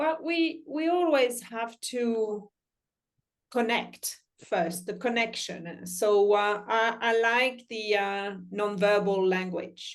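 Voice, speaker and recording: Very slow delivery with lively intonation. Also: woman, fairly high pitch for a woman. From France. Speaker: life coach. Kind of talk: panel discussion. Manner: hesitant, many fillers.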